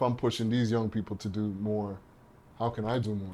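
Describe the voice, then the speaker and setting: In a Trinidadian accent, a man speaks at a fairly quick pace. His pitch is fairly low, with monotone, flat intonation. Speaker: partnerships and marketing professional. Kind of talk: podcast interview.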